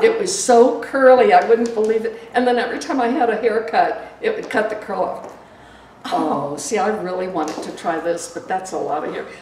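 A woman's fairly high voice with very wide pitch swings, audible room echo and light background noise. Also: moderate pace, big swings in loudness. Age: 80s+. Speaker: wig customer. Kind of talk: casual conversation during wig fitting. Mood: cheerful, chatty. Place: shop.

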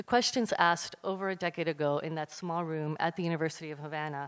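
Very deep and low in pitch, a woman speaks at a fairly quick pace with fairly even intonation on a very clean recording with a silent background. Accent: American. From US, Cuban American. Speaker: curator and panel moderator. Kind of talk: panel moderation. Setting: stage with audience. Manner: formal.

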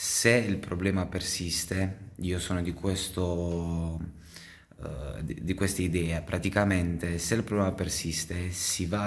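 Very deep, low male speech with fairly even intonation. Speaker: vlogger and computer repair technician; vlogger. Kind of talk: casual vlog talk to camera. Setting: in a car. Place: workshop. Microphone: phone near.

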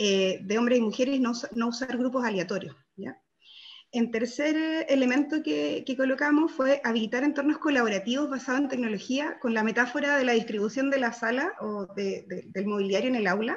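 A high-pitched woman at a fairly quick pace, with ordinary pitch variation and light background noise. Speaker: workshop participant presenting group results. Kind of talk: group presentation in online workshop. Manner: fast; hesitant, many fillers. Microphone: video call.

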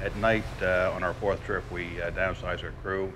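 Over music in the background, a man talks at a moderate pace. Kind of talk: interview answer. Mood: relaxed, friendly. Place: boat. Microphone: lapel.

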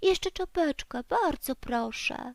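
A squeaky, put-on character voice moves at a fairly slow pace. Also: woman. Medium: read story. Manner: shivering, squeaky.

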